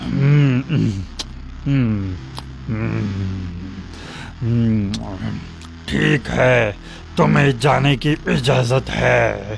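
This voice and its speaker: In a cartoonish character voice with a menacing tone, a man speaks at a fairly low pitch and a very slow pace, with long, frequent pauses and clear music in the background. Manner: menacing, gloating.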